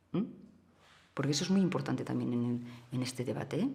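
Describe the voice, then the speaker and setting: A woman with a Catalan accent speaks at a moderate pace with ordinary pitch variation. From Catalonia, small town near Barcelona. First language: Catalan (speaking Spanish). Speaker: political activist. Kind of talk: interview. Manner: halting, many hesitations.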